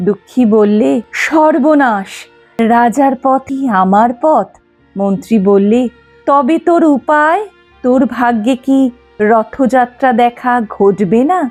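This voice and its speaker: A woman speaks at a high pitch with lively intonation and very even loudness. Music plays in the background. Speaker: poetry reciter. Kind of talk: poetry reading.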